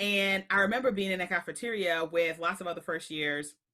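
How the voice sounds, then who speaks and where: Animated and bright, a woman with an American accent speaks at a medium pitch and a fairly quick pace, with a sharp tone and ordinary pitch variation. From Queens, New York City, Jamaican family. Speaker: speaker, trainer and coach. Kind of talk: podcast interview.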